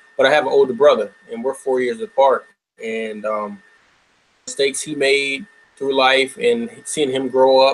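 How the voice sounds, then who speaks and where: Here a man speaks at a medium pitch in an unremarkable speaking voice. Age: 30s. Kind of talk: panel discussion.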